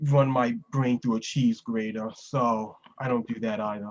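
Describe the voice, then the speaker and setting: A medium-pitched man's voice with a New York accent. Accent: New York area. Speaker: podcast host. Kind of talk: casual chat.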